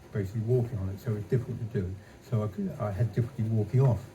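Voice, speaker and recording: A man speaks at a fairly low pitch with a dark, mellow tone and a somewhat breathy quality. His intonation stays fairly even, and audible room echo surrounds him. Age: 80s+. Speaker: retired engineer and early game developer. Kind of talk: stage talk interview. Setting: stage with audience. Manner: halting.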